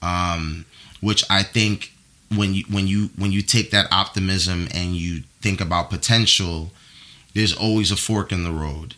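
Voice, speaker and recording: With a New York accent, a man speaks fairly slowly in a very deep, low voice with fairly even intonation. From US Northeast, New York (the Bronx). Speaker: brand marketing manager. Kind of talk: casual chat.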